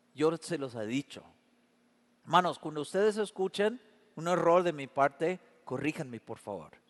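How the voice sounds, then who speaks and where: Speaking at a fairly high pitch and a moderate pace, a man uses lively intonation with big swings in loudness. He leaves long, frequent pauses, and the sound is dry and close with no echo. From Canada. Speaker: pastor. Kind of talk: sermon.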